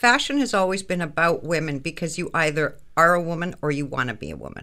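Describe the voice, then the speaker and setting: With a Canadian accent, this voice has a bright, sharp tone and lively intonation. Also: woman. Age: 60s. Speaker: fashion business consultant. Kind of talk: radio interview.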